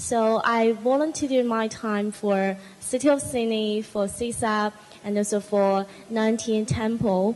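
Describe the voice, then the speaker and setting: A woman with a Chinese accent speaks at a fairly slow pace. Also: fairly high pitch for a woman, fairly even intonation. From China. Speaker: international student panelist. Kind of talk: panel talk.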